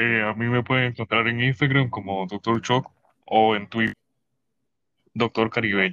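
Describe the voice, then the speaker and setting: With long, frequent pauses, a man at a medium pitch speaks at a moderate pace in a monotone, flat intonation, his tone bright and sharp in a dry, close sound with no echo. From Cayman Islands. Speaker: streamer and podcast guest. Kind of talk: casual chat. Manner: loud.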